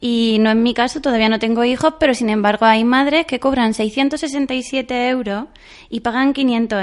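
Speaking at a fairly slow pace, this is an unremarkable speaking voice. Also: woman. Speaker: occupational therapist. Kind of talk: interview.

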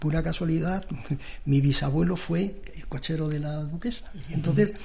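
In a room with audible echo, a man with a fairly high pitch and a dark, mellow tone talks at a fairly slow pace with ordinary pitch variation. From Madrid, Spain. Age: 60s. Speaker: cartoonist and illustrator. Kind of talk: radio interview. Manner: halting, repeats words.

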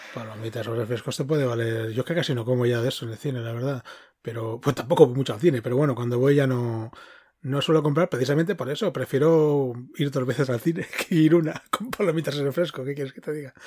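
Talking at a very fast pace, a man has a medium pitch, a dark, mellow tone, a somewhat breathy quality and ordinary pitch variation. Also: very clean recording, silent background. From Catalonia (Girona). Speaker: podcast co-host. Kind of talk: casual chat.

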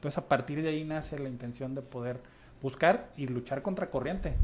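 Somewhat breathy and medium-pitched, a man talks fairly quickly, his pitch varying in an ordinary way. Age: 30s. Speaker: local political hopeful and volunteer. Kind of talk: radio interview.

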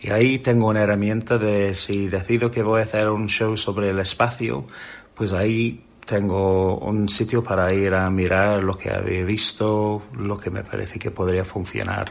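In an English accent, a man speaks fairly slowly at a fairly low pitch with fairly even intonation. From England. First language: English (speaking Spanish). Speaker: children's magician. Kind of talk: interview.

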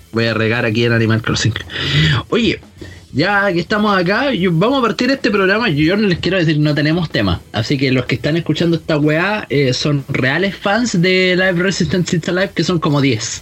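With a Chilean accent, a high-pitched man speaks at a moderate pace, his pitch swinging very widely and his loudness very even, over noticeable background noise. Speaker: podcast host. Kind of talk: casual chat. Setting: Skype call.

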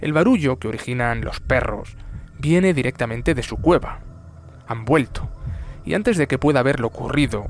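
A man at a moderate pace with long, frequent pauses, music in the background. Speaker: narrator. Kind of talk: scripted bedtime-style nature story narration. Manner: solemn, tender, reflective tone.

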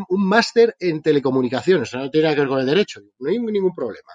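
The recording has a dry, close sound with no echo as a man talks at a very fast pace. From Spain. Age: 40s. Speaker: entrepreneur. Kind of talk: interview.

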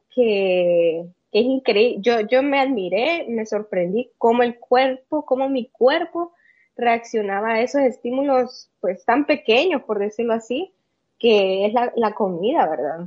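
Talking at a very slow pace, a woman with a Salvadoran accent uses a fairly high pitch and lively intonation. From El Salvador. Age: 30s. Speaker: bodybuilder. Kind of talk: interview. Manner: halting, many fillers.

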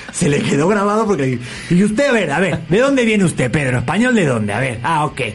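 Over noticeable background noise and audible room echo, a man with a Spanish accent speaks at a very fast pace in a high voice, animated in tone, with very wide pitch swings but very even loudness. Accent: Spanish (Spain). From Spain, Madrid. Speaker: talk show host. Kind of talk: casual interview chat.

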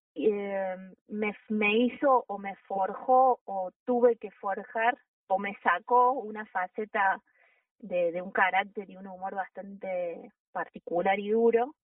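Speaking at a very slow pace, a woman keeps a medium pitch with ordinary pitch variation. Her loudness swings widely. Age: 40s. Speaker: mountain guide and first aid instructor. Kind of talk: interview. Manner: halting.

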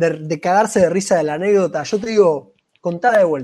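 Moving at a moderate pace, a man with a high pitch and a dark, mellow tone uses ordinary pitch variation. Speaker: amateur stand-up comedian and podcast co-host. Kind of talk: casual chat.

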